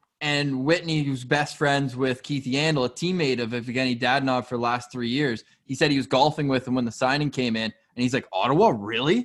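A man in an unremarkable speaking voice speaks at medium pitch and a fairly quick pace, with fairly even intonation and hardly any pauses. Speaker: sports podcast host. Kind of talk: casual chat.

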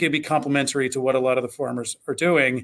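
Very fast speech in an American accent. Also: man. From Southwest Ohio, US. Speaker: agribusiness executive. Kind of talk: interview. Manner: halting, many fillers.

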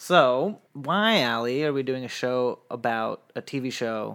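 A man with a plain, everyday voice talks at a medium pitch with ordinary pitch variation. The recording is very clean, with a silent background. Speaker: podcast co-host and producer. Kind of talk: casual chat, recap podcast. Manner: laughs often, casual.

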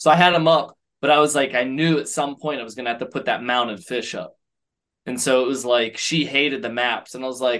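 This man has an ordinary speaking voice, medium in pitch with ordinary variation, and an American accent. He speaks at a fairly quick pace against a quiet background. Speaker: podcast co-host. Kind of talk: casual chat.

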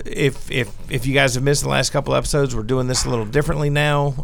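With an American accent, a man speaks in a normal speaking voice at a medium pitch, his intonation fairly even. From US South. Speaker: comic book podcast panelist. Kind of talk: casual chat.

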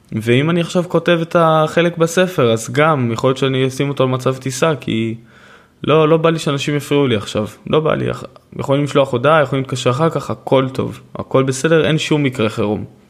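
Here is a man with a normal speaking voice and a fairly high pitch. He goes at a fairly quick pace with ordinary pitch variation. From Israel, Haifa. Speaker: podcast host and author. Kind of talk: solo podcast monologue.

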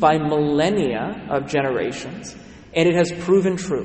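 Speech comes at a moderate pace with ordinary pitch variation. Audible room echo and noticeable background noise are present. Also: man. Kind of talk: sermon. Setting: church.

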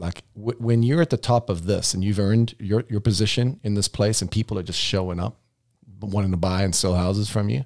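The recording is dry and close with no echo. A man with a fairly low voice speaks in a South African accent. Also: very clean recording, silent background. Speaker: real estate team leader and podcast host. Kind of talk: casual chat. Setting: studio.

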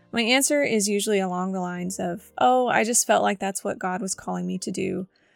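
A woman talks at a fairly quick pace and medium pitch, her voice raspy with vocal fry, in a dry, close sound with no echo on a very clean recording with a silent background.

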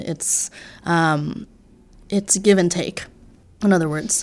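A woman with an American accent and a normal speaking voice, medium in pitch, at a fairly slow pace with ordinary pitch variation, on a very clean recording with a silent background. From New York City area. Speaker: cellist. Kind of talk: interview conversation. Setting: music studio.

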